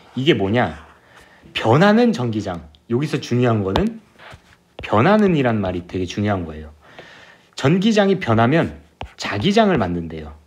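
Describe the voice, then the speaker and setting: With audible room echo around him, a man at a medium pitch lets his voice swing very widely in pitch and stops often for long pauses. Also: moderate pace. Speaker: physics tutor. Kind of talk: lecture.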